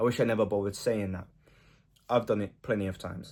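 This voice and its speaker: On a very clean recording with a silent background, a man speaks quietly at a fairly quick pace. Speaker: self-improvement vlogger. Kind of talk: casual monologue. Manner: casual, filler-heavy.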